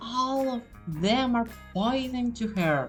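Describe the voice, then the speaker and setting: Music plays behind a woman with a non-native accent who speaks very slowly at a fairly high pitch with ordinary pitch variation. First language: not English. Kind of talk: casual fan theory talk. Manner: hesitant, uncertain.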